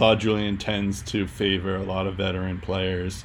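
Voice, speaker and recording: A man with a slight Boston accent speaks in a fairly low, monotone voice with flat intonation. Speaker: podcast host. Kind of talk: casual sports podcast discussion. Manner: filler-heavy, casual.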